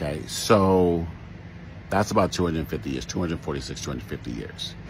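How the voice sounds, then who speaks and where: A man with an American accent, a very deep, low pitch and vocal fry, moving at a fairly quick pace. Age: 60s. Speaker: social commentator. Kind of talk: commentary monologue. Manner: halting, with repetitions.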